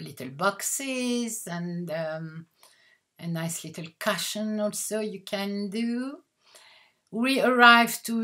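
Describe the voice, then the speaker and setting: Speaking with a French accent, a woman goes at a very slow pace with ordinary pitch variation. The recording is very clean, with a silent background. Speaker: haberdashery owner and designer. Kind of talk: product presentation. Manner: halting.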